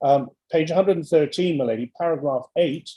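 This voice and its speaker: The man's tone comes across as dark and mellow. He keeps a fairly quick pace. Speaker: barrister. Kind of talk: courtroom submission. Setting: video call. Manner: fast.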